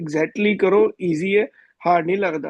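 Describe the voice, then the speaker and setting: Lively intonation from a high-pitched man, in a dry, close sound with no echo. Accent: Punjabi. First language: Punjabi (speaking Hindi). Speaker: student. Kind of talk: class question.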